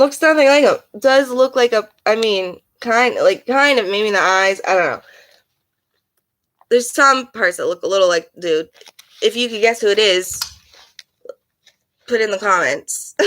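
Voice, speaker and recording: The speech keeps a moderate pace but is broken by long, frequent pauses. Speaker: live streamer. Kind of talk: casual live stream chat. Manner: halting, filler-heavy; loud at times.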